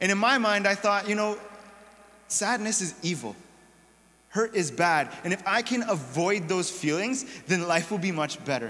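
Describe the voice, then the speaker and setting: At a moderate pace, a man speaks in a raised, projected voice with lively intonation. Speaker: pastor or preacher. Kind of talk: sermon. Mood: personal, reflective storytelling. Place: church.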